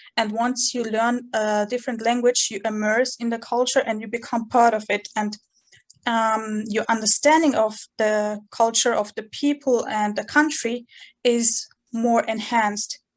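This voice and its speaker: A woman speaks with a Chechen accent at a fairly slow pace. Her fairly high voice stays monotone and flat. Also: quiet background. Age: 20s. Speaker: university student. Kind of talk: interview. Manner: halting.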